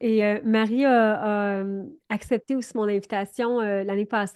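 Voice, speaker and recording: A woman with a Quebec accent speaks in a fairly high pitch and a monotone, flat intonation. The sound is dry and close with no echo, against a quiet background. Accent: Québécois. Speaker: business coach, program host. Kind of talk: casual interview.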